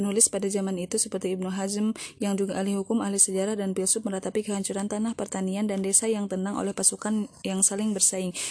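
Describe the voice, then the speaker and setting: Flat, monotone intonation runs at a very fast pace. The tone is dark and mellow, the loudness very even. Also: woman, medium pitch for a woman. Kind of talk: audiobook reading of a history book, formal narration. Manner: formal, measured, even narrator's delivery; slightly halting, with filler 'e' and repeated words.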